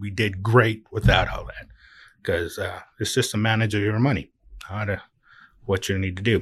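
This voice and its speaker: A somewhat breathy man with a fairly low pitch leaves long, frequent pauses and swings widely in loudness, on a very clean recording with a silent background. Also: fairly even intonation, moderate pace. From Hawaii (Oahu). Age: 50s. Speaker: truck driver, owner-operator. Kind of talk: casual interview.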